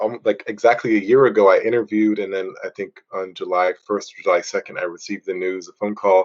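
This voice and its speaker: A man at a very fast pace with hardly any pauses and big swings in loudness. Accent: American. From US Northeast, Boston. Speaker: runner and workshop trainer. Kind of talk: podcast interview. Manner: hesitant, many fillers.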